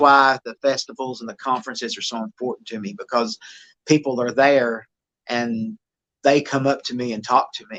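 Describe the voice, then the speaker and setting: A bright, sharp tone in an East Tennessee accent, with monotone, flat intonation and big swings in loudness. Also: man, medium pitch for a man, moderate pace, dry, close sound with no echo. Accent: Southern American (East Tennessee). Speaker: Bigfoot investigator. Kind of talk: podcast interview answer.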